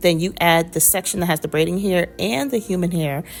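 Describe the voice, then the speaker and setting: Background music accompanies speech delivered fairly slowly. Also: woman. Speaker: hair tutorial youtuber. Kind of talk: tutorial. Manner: casual and chatty.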